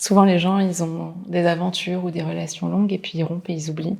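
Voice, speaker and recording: The delivery is fairly quick and flat, in a monotone. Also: woman. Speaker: actress. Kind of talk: film and TV drama scenes. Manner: wistful, confiding.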